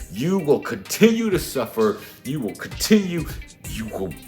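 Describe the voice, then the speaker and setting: A man at a moderate pace with very wide pitch swings, music playing in the background. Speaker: spoken word poet. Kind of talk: casual talk to camera.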